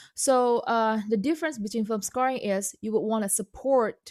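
Here a woman speaks with an Indonesian accent. Her pitch is fairly high, with ordinary pitch variation. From Indonesia (North Sumatra). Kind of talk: interview. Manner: halting.

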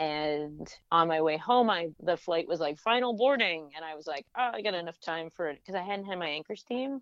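A woman with an unremarkable speaking voice talks at a fairly quick pace in a fairly low pitch, with lively intonation, big swings in loudness and hardly any pauses. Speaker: cartoonist and beer educator. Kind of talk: casual chat.

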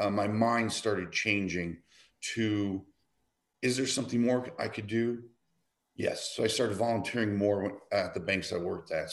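At a moderate pace, an unremarkable speaking voice with an American accent shows ordinary pitch variation against a quiet background. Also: man. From Michigan, Detroit. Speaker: nonprofit program coordinator. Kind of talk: casual chat.

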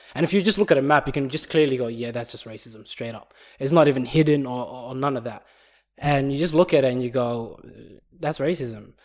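Speaking in an Australian accent, a man talks at a fairly quick pace with medium pitch and ordinary pitch variation. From Perth, Australia. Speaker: podcast co-host. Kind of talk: casual chat.

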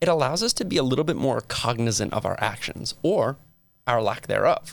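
Over a very clean recording with a silent background, a man with an American accent uses an ordinary speaking voice at a medium pitch, talking at a fairly quick pace with lively intonation. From New Jersey (Metuchen). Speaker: communication professor and podcast host. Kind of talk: lecture. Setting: studio.

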